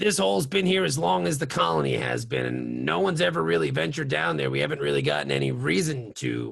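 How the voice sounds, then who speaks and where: In a put-on character voice, a man booms with a very deep, low pitch. He races at a very fast pace with hardly any pauses. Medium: actual play. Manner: gruff, bossy.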